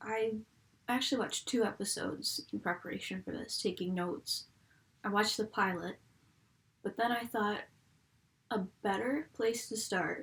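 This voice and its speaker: A woman with an American accent talks at a moderate pace in a fairly high voice with some vocal fry. Her pitch varies in an ordinary way, and she takes long, frequent pauses. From US, Buffalo, New York. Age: 20s. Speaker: fan video reviewer. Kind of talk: casual vlog. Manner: casual, chatty.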